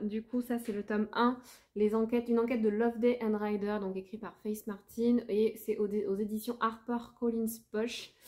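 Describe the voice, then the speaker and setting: A woman's dark, mellow tone at a fairly slow pace, over a quiet background. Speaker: book vlogger. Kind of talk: casual vlog chat. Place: home room. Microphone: phone near.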